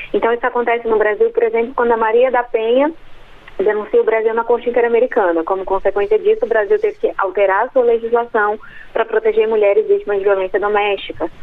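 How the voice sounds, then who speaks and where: Very fast speech over noticeable background noise. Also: woman, fairly high pitch for a woman, fairly even intonation, very even loudness. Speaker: law professor. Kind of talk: expert interview. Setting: phone call. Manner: hesitant, many fillers.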